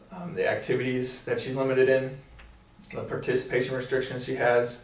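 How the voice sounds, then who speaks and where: There is noticeable background noise and audible room echo. A man speaks at a fairly quick pace and medium pitch, in a monotone, flat intonation. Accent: American. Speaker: physical therapy student. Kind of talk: casual review chat.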